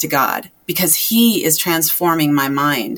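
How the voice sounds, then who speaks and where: Talking at a fairly slow pace, a woman has an ordinary speaking voice with a fairly low pitch and lively intonation. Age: 40s. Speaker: health and transformation coach. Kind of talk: casual chat.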